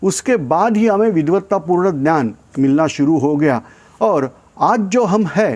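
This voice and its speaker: A man's voice with very wide pitch swings. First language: not Hindi (speaking Hindi). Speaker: YouTube channel host. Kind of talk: informational talk. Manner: hesitant, many fillers.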